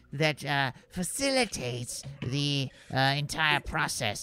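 A man puts on a character voice and talks very slowly. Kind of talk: academic lecturing. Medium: actual play. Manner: prim, verbose, says 'you see' often.

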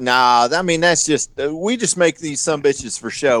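A man in a plain, everyday voice with an American accent, fairly high in pitch, lively in intonation and moderate in pace, in a dry, close sound with no echo on a very clean recording with a silent background. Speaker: knifemaker and former Navy boarding officer. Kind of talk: casual chat, joking banter. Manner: joking, irreverent.

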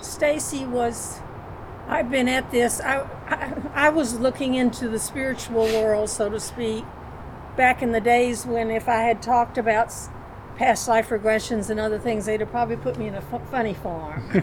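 A woman talks at a moderate pace with a fairly high pitch and fairly even intonation. Noticeable background noise is present. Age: 80s+. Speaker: guest, friend. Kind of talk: casual chat.

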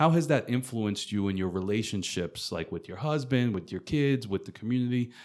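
In a plain, everyday voice with an American accent, a man at medium pitch talks at a fairly quick pace with lively intonation, the recording very clean with a silent background. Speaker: podcast host and coach. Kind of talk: casual interview.

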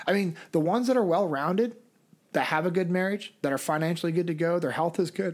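In a Californian accent, a man with a high voice speaks at a very fast pace with very even loudness. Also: ordinary pitch variation. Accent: General American (Californian). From US West, Sacramento, California. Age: 30s. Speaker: former Navy SEAL, leadership instructor and speaker. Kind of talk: interview conversation.

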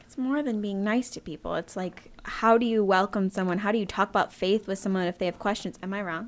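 At a fairly quick pace, a woman with an ordinary speaking voice and a medium pitch speaks with fairly even intonation. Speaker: podcast co-host. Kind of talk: casual chat.

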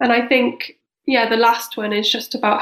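A woman with a Cardiff accent speaks at a moderate pace and fairly high pitch in a monotone, flat intonation. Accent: Welsh (Cardiff). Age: 30s. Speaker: charity director and co-founder. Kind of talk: casual interview.

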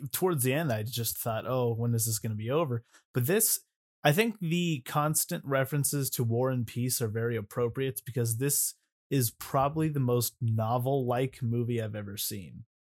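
On a very clean recording with a silent background and a dry, close sound with no echo, a man uses a normal speaking voice at a medium pitch and moderate pace, with ordinary pitch variation. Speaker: podcast co-host. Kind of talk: casual chat.

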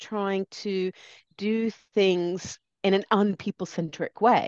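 A woman speaks at a medium pitch with an American accent. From US, lives in Britain. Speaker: change consultant and speaker. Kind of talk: interview conversation.

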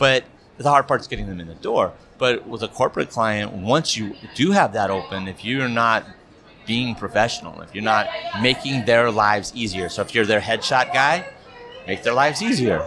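A man at a moderate pace and medium pitch, with ordinary pitch variation, big swings in loudness, and crowd noise in the background. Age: 50s. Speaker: corporate and wedding videographer. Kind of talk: casual chat.

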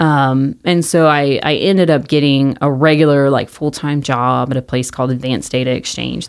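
At a fairly quick pace, a woman talks with a very deep, low pitch and fairly even intonation. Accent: American. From Mesquite, Texas. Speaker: marketing business founder. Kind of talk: casual interview chat.

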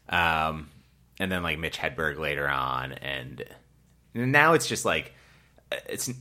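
A man with an American accent, very deep and low in pitch, his bright, sharp tone edged with vocal fry. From Massachusetts (Rockland, near Boston). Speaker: stand-up comedian and comedy producer. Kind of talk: casual interview chat. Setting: living room recording.

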